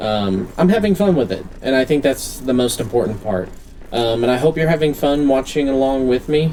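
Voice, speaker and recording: Over noticeable background noise, a man with a medium pitch speaks with lively intonation. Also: moderate pace. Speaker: gaming youtuber. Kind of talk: gameplay commentary. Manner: loud. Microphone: poor vocal audio.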